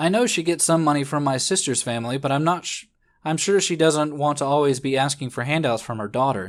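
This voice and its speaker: A man with a plain, everyday voice talks at a fairly quick pace, his pitch fairly high and its variation ordinary. The recording is very clean, with a silent background. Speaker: let's play video host. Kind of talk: reading a historical diary aloud.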